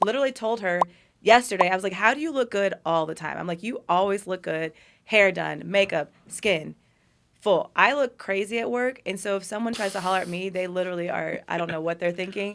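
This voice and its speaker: An ordinary speaking voice with an American accent moves at a fairly quick pace with ordinary pitch variation, on a very clean recording with a silent background. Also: woman, medium pitch for a woman. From US Midwest, Kansas City. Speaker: dermatologist and hair transplant surgeon. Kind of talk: casual chat.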